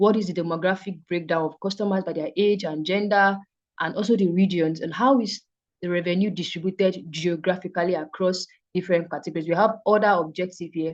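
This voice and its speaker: A woman speaks at a fairly quick pace with medium pitch. The background is quiet. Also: fairly even intonation. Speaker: data analytics instructor. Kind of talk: online class lecture. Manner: fast.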